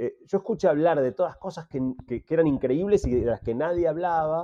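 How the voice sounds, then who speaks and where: Talking very fast, a man has a fairly high voice with a dark, mellow tone. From Argentina, Buenos Aires. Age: 50s. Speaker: entrepreneur and technology communicator. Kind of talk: interview conversation.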